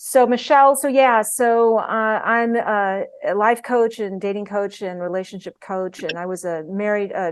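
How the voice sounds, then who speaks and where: Against a quiet background, a woman with a medium pitch and ordinary pitch variation speaks at a moderate pace with hardly any pauses. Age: 60s. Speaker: life and dating coach. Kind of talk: casual chat. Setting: video call. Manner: animated.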